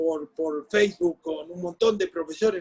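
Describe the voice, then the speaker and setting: A man with a Rioplatense accent, dry and close with no echo. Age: 60s. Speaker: sports journalist and former football coach. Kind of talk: interview. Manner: animated.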